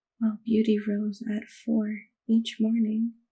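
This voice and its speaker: Delivery here is fairly slow. The speaker is soft-spoken. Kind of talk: bedtime story reading. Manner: soft-spoken ASMR.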